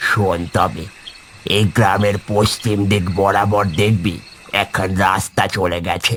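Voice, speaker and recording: A man puts on a cartoonish character voice, fairly low in pitch, delivered at a fairly slow pace in a monotone, flat intonation. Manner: folksy, fatherly.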